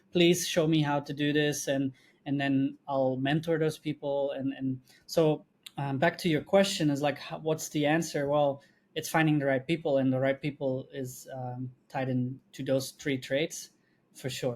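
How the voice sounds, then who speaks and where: A man speaks with a non-native accent at a fairly high pitch. His pace is moderate and his intonation fairly even. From Belgium. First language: not English. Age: 20s. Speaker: video agency co-founder. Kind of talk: podcast interview. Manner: many fillers and restarts.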